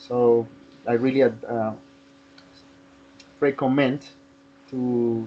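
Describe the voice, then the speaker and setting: Noticeable background noise sits under the recording. A man talks at medium pitch. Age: 30s. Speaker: English class participant. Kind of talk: casual chat. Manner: halting.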